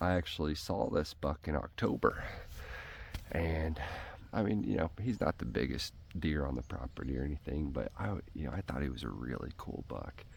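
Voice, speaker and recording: The man's pitch is very deep and low, with vocal fry. He speaks at a moderate pace with lively intonation. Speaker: hunting vlogger. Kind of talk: casual vlog narration. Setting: outdoors. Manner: whispering; animated.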